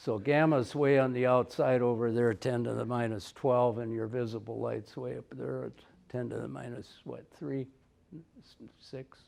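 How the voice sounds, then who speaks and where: A man speaks with an Upper Midwest accent at a moderate pace. His loudness swings widely. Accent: Upper Midwest American. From North Dakota. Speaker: retired forest research technician. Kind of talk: conference presentation.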